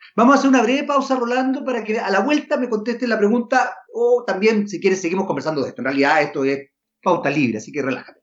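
The man's pitch is high, with very wide swings. He talks very fast. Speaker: podcast host. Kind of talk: interview.

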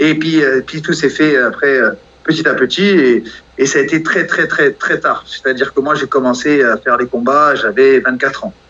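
At a moderate pace, a man with an ordinary speaking voice talks in a fairly high pitch with ordinary pitch variation. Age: 40s. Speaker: professional boxer. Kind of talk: interview.

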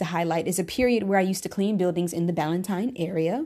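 A woman speaks with an American accent in a medium-pitched, dark, mellow tone. The recording is very clean, with a silent background. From Charlotte, North Carolina (early years New York). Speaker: singer and podcast host. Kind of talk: self-interview monologue, scripted.

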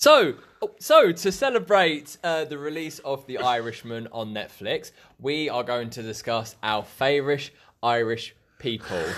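Fairly high in pitch, a man's unremarkable speaking voice moves at a fairly slow pace with lively intonation and big swings in loudness. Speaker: podcast host. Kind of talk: casual chat.

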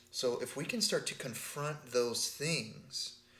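The speaker is a man with an American accent. His voice has audible room echo. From Texas. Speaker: podcast co-host, spiritual teacher. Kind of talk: casual chat.

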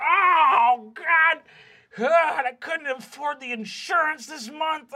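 A put-on character voice with a high pitch drags along at a very slow pace. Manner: distraught, exasperated.

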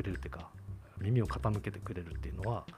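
Very fast speech with vocal fry, very wide pitch swings, and a dark, mellow tone. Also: man. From Tachikawa, Tokyo, Japan. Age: 40s. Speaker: city councillor. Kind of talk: casual chat.

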